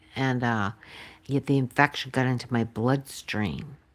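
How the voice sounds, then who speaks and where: A soft-spoken woman talks with an American accent. Her pitch is very deep and low, at a fairly slow pace. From Massachusetts, near Boston. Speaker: pet channel host, former nurse. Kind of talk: casual chat. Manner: halting, many fillers.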